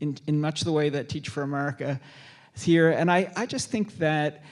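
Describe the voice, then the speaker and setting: At a moderate pace, a man with a fairly high pitch speaks in a normal speaking voice with fairly even intonation. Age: 60s. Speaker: author and speaker on aging. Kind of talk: moderated book talk.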